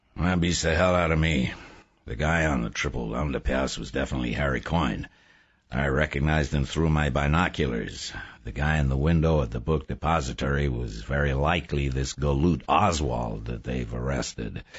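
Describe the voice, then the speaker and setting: Using a put-on character voice, a man talks gruffly at a moderate pace with a very deep, low pitch. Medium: read story. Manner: terse, unemotional, gruff.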